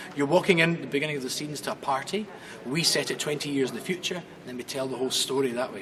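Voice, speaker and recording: A man with a Glaswegian accent talks at a very fast pace in a fairly high pitch. There is noticeable background noise. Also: ordinary pitch variation. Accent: Glaswegian Scottish. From Scotland, Glasgow. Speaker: stage actor. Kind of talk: casual interview.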